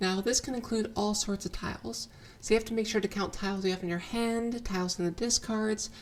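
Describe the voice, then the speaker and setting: A somewhat breathy woman at a medium pitch, very fast in pace, with fairly even intonation. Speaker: riichi mahjong strategy teacher. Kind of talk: tutorial narration.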